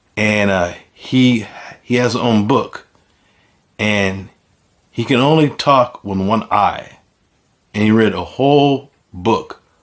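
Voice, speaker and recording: Speaking at a very slow pace with long, frequent pauses, a man keeps to ordinary pitch variation. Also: medium pitch for a man. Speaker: channel host, stroke survivor with aphasia. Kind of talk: personal storytelling monologue. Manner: halting, with repetitions and restarts; slower than before his stroke.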